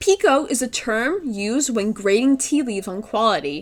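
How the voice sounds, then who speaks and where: Her pitch swings very widely as this woman talks. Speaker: gaming video creator. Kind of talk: scripted narration. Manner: can't roll R's.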